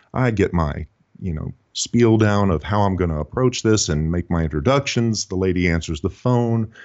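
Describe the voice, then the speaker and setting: Speaking at a moderate pace, a man with an American accent has a very deep, low voice and ordinary pitch variation. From Texas, Houston. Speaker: sales trainer and author. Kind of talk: podcast interview.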